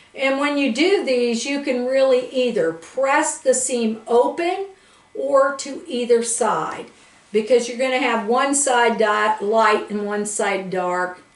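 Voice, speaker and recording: Over noticeable background noise and audible room echo, a woman speaks very slowly with a high pitch and lively intonation. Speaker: quilting instructor. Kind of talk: tutorial. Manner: casual, conversational.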